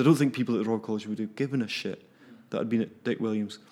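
The speech moves at a very fast pace in a Glaswegian accent. Its pitch varies in an ordinary way. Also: man. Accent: Glaswegian Scottish. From Scotland, south of Glasgow. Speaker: animator and film festival programmer. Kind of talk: casual interview.

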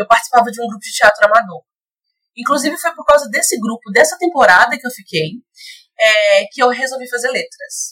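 A woman is speaking. Her tone is bright and sharp. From Belo Horizonte, Minas Gerais, Brazil. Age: 20s. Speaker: Spanish teacher and model. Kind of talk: podcast interview. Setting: virtual recording.

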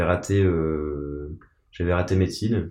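A man's very deep, low voice with a dark, mellow tone and fairly even intonation, over a quiet background. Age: 30s. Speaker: bereaved son sharing his story. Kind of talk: testimony. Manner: halting, many hesitations and repetitions.

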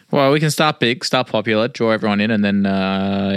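A man at a fairly low pitch talks at a moderate pace. It is an ordinary speaking voice. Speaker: podcast host. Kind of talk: casual chat.

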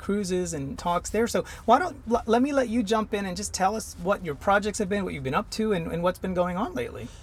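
With an enthusiastic tone, a man talks at a fairly quick pace with ordinary pitch variation over noticeable background noise. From India, Mumbai. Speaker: podcast host. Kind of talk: interview.

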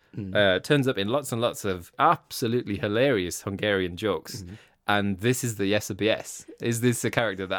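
The passage is read aloud plainly. Nothing more is added to the reading.

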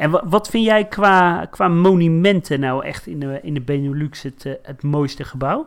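In a very clean recording with a silent background, a man with a normal speaking voice and fairly high pitch talks at a moderate pace with hardly any pauses, ordinary pitch variation and big swings in loudness. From Netherlands, Rotterdam. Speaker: podcast co-host. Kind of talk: casual chat.

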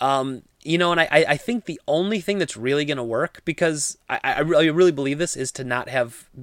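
This man has a normal speaking voice, fairly high in pitch, with an American accent. He talks at a fairly quick pace with ordinary pitch variation, in a very clean recording with a silent background. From US Midwest. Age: 30s. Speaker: gaming podcast host. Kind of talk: solo podcast commentary.

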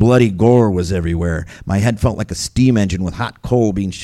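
A natural reading voice whose pitch varies in an ordinary way

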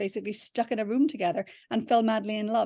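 In a dry, close recording with no echo and a quiet background, a woman with an Irish accent speaks at a fairly high pitch with a dark, mellow tone. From Ireland. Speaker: novelist and screenwriter. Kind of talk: interview. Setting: video call.

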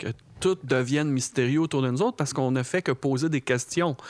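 A man speaks with an unremarkable speaking voice. His pitch is medium for a man, with ordinary pitch variation. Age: 40s. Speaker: film director. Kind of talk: casual chat.

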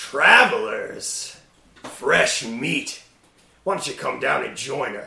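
A man's put-on character voice at a very slow pace, with slight echo. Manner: gloating, sadistic, mocking.

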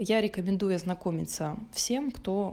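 Speaking at a fairly slow pace, a woman with a medium pitch, a dark, mellow tone and vocal fry uses ordinary pitch variation. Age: 20s. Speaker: podcast co-host. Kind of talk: casual chat.

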